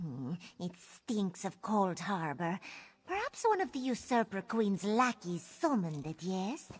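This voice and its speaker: In a female-sounding put-on character voice of medium pitch, the speaker goes at a fairly slow pace. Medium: video game. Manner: cautious.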